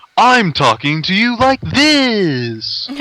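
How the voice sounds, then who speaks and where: A man performs a put-on character voice. His pitch sits high. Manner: smooth, exaggerated announcer delivery.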